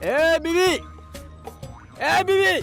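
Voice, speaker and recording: Over clear music in the background, a man puts on a character voice at an extremely high pitch. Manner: shouting.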